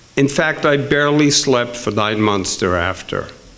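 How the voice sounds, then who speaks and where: A man speaks at a very slow pace with lively intonation, amid audible room echo and noticeable background noise. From Netherlands. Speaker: author and storyteller. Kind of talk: storytelling. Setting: stage with audience.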